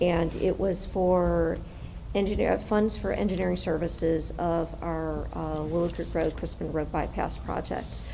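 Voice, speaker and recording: Audible room echo is heard in this recording. Within it, a woman talks at a fairly slow pace. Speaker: city staff member. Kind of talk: public meeting. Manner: hesitant.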